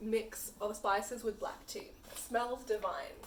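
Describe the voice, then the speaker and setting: A woman talks very slowly while noticeable background noise runs underneath. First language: Punjabi. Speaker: chai company founder. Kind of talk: tutorial.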